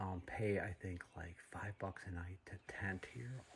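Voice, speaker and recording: A soft-spoken man talks at a fairly slow pace in a very deep, low pitch. His voice is somewhat breathy, with fairly even intonation. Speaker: hiker vlogger. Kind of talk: casual vlog narration. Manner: soft-spoken, talking low.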